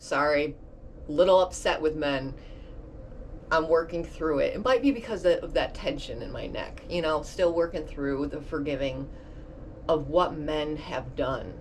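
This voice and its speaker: There is audible room echo as a woman talks at a fairly slow pace. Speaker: video blogger. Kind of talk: casual monologue. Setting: bedroom. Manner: animated.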